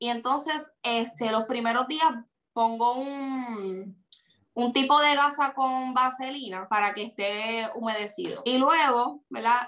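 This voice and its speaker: Very slow and high in pitch, a woman with a Puerto Rican accent has a bright, sharp tone. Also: ordinary pitch variation. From Puerto Rico. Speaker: social media personality. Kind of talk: interview.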